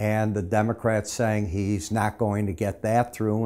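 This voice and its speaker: The voice has a dark, mellow tone and a monotone, flat intonation. It moves at a moderate pace. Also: man. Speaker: market analyst. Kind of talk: market commentary. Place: studio.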